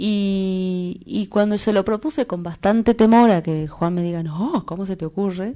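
A woman speaks at medium pitch with a dark, mellow tone. She leaves hardly any pauses. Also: ordinary pitch variation, fairly slow pace, very clean recording, silent background. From Salta, northwest Argentina. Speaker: folk singer. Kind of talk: interview. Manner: halting, with frequent repetitions.

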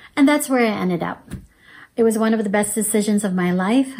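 Dark, mellow tone in a woman's voice, somewhat breathy. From born in Laos, raised as refugee then resettled in US. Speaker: church member giving testimony. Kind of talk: testimony.

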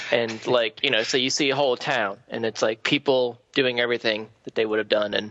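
A man speaks at a fairly quick pace in a medium pitch with fairly even intonation. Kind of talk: casual chat.

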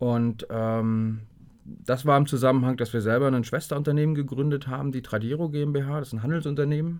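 A man speaks fairly quickly at a medium pitch with fairly even intonation. The recording is very clean with a silent background. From northeastern Germany, Greifswald. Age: 40s. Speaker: software company director. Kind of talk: interview. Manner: hesitant with many fillers.

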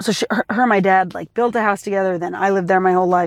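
Very fast and with fairly even intonation, a woman speaks in a very clean recording with a silent background. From Massachusetts suburbs. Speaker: actor and comedian. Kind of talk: casual chat. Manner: loud.

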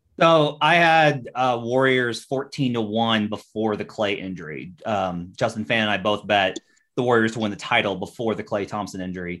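A man talks at a moderate pace with hardly any pauses, in a plain, everyday voice against a quiet background. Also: medium pitch for a man, lively intonation. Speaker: NBA journalist. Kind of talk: casual sports betting chat.

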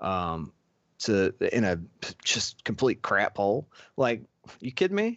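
Lively intonation from a man with a fairly low pitch, at a fairly slow pace with long, frequent pauses. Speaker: podcast co-host. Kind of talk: casual chat.

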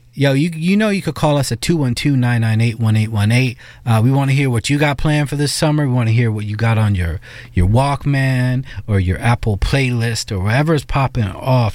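This man talks at a moderate pace, his voice medium in pitch with ordinary pitch variation. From New York. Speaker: radio host. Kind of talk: casual chat. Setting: studio. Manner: animated.

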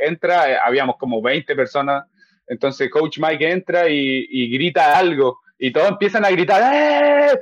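Here is a man with an ordinary speaking voice, fairly high in pitch, with ordinary pitch variation. The recording sounds dry and close, with no echo. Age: 20s. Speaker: MMA fighter. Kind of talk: casual chat.

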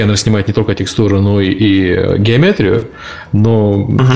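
A man's fairly low voice comes through with clear background noise behind it. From Ukraine. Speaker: podcast co-host. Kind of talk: casual chat. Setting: video call.

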